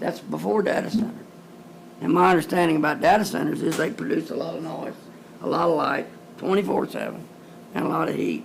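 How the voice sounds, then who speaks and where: Talking at a very fast pace with long, frequent pauses, a man with a rural Texas accent is heard over noticeable background noise and audible room echo. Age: 70s. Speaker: cattle rancher speaking at public comment. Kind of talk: public comment at county meeting. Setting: county courtroom meeting.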